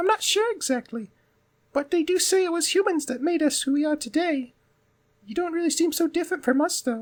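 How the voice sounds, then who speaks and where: Putting on a character voice, a man talks at a fairly quick pace in an extremely high, squeaky pitch. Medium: game stream. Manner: polite, curious, warm.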